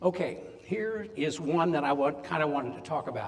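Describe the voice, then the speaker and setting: Noticeable background noise and audible room echo surround a man speaking at a fairly slow pace. His fairly high voice moves through very wide pitch swings. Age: 70s. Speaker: medical device company owner speaking at an event. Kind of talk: conference talk.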